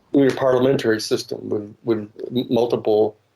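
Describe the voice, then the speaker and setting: The man's voice has a dark, mellow tone at medium pitch. He talks at a fairly quick pace with monotone, flat intonation. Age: 70s. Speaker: lawyer. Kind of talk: panel discussion. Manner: halting.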